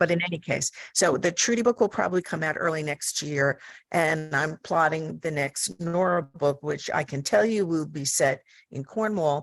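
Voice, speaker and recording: Against a quiet background, a woman with an American accent speaks at a moderate pace in a very deep, low voice with ordinary pitch variation. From US Northeast (Long Island, New York). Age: 70s. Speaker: mystery author, panelist. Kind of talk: panel discussion.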